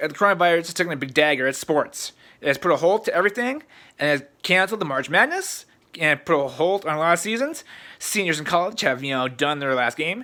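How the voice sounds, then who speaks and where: At a very fast pace, the speech comes in an American accent on a very clean recording with a silent background. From Iowa, US Midwest. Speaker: sports vlogger. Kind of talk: casual vlog. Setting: at home in front of a muted TV. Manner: rambling, halting with fillers.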